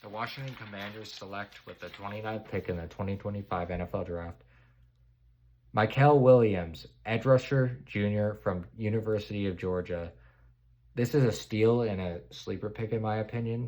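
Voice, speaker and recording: Here is a man with an ordinary speaking voice, fairly low in pitch with ordinary pitch variation. He talks at a moderate pace in a very clean recording with a silent background. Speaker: NFL draft commentator. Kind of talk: solo draft prediction commentary.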